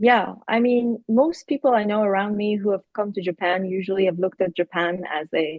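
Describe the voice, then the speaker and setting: Someone with an Iranian accent speaks with ordinary pitch variation and hardly any pauses. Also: woman, medium pitch for a woman. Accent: Iranian (Persian) English. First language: Persian. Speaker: university professor, keynote speaker. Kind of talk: interview.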